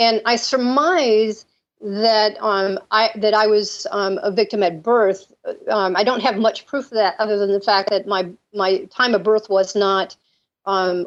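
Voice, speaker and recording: A woman speaks fairly slowly, her pitch fairly high. Her loudness stays very even and her intonation fairly even. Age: 60s. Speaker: mind control survivor. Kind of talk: interview testimony. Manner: halting.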